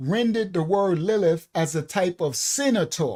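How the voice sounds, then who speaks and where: A man with a New York accent speaks at a high pitch with lively intonation. The recording is very clean, with a silent background. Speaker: bible study teacher. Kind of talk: bible study lecture. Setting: live stream.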